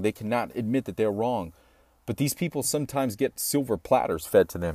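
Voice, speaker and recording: The dry, close recording is very clean with a silent background and no echo, carrying a medium-pitched man with an American accent. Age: 30s. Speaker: podcast host. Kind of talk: solo podcast monologue. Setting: home recording studio.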